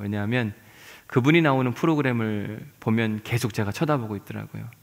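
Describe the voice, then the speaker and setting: Medium-pitched male voice, an ordinary speaking voice, with ordinary pitch variation and a fairly quick delivery. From South Chungcheong, Yesan. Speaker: pastor. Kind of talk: sermon.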